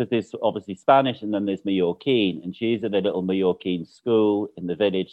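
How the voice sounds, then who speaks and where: In a Mancunian accent, a man talks at a fairly quick pace with a fairly low pitch. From Manchester, northern England. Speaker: interior designer. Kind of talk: casual chat.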